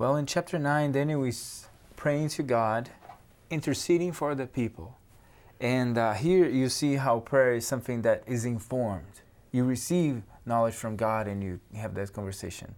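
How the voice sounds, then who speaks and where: Speech with a Brazilian accent at a moderate pace, with ordinary pitch variation. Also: man, medium pitch for a man. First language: Portuguese. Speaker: theology student. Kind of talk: religious discussion.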